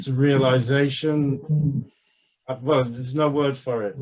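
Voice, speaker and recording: The man's fairly slow speech has a somewhat breathy quality. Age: 70s. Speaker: translator. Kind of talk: casual chat. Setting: video call.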